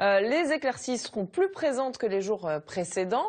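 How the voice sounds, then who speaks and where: Moving at a moderate pace, a woman speaks with very wide pitch swings. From France. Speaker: weather presenter. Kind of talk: TV weather forecast, scripted broadcast delivery. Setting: TV studio. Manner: formal, steady, clear and measured. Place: studio. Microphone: lapel.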